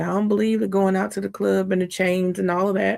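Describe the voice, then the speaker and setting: A woman talks quietly at a very fast pace. Her tone is animated. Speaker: trial commentary streamer. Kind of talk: live commentary. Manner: speaking quietly; casual, animated.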